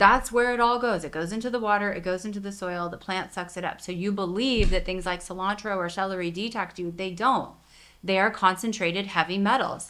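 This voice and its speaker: The delivery has a bright, sharp tone at a fairly quick pace, with fairly even intonation and big swings in loudness. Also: woman, medium pitch for a woman. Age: 50s. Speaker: physician and author. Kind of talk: interview conversation. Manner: fast.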